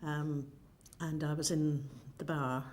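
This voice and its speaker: With an Irish accent and a very deep, low pitch, a woman speaks amid audible room echo. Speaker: interviewee. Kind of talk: interview.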